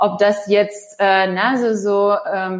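The woman's pitch is medium. She speaks at a very slow pace. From former Soviet Union. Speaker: managing director of a children's digital education nonprofit. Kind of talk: interview. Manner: halting, many filler sounds.

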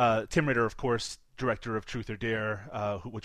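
Someone speaks in a Canadian accent against a quiet background. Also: man. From Canada. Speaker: film podcast co-host. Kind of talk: casual chat.

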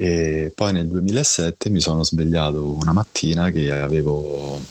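A man's very deep, low voice in a monotone, flat intonation, dry and close with no echo, over noticeable background noise. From Rome, Italy. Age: 40s. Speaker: blind guest sharing illness story. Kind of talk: interview testimony. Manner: halting, repeats words.

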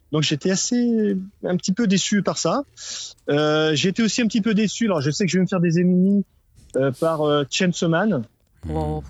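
A high-pitched man at a moderate pace, with long, frequent pauses, very even loudness and ordinary pitch variation. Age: middle-aged. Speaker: listener caller. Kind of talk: casual chat.

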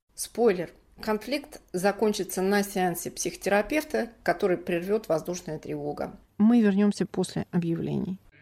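A woman with a dark, mellow tone speaks fairly slowly at a medium pitch with ordinary pitch variation. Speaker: podcast host. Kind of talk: scripted narration and hosting.

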